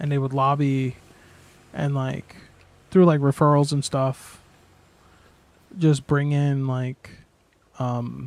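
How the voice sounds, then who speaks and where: Mumbling at a very slow pace, a man speaks in a flat monotone at a fairly high pitch, with long, frequent pauses. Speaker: video game streamer. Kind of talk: casual livestream chat. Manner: halting.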